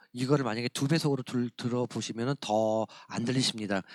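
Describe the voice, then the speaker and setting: A man talks at a very fast pace. His voice sounds dry and close, with no echo. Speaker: church education trainer. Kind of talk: training lecture.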